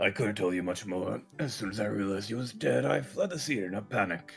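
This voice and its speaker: A raspy, put-on character voice moves at a fairly quick pace with lively intonation. Faint music sits in the background. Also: man, fairly low pitch for a man. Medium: game stream. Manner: sincere, somber.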